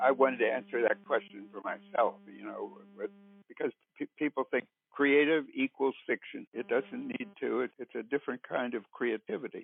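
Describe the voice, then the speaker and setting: Over music in the background, a man with an American accent talks at a moderate pace, his loudness swinging widely. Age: 80s+. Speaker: writer and university writing teacher. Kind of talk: interview answer.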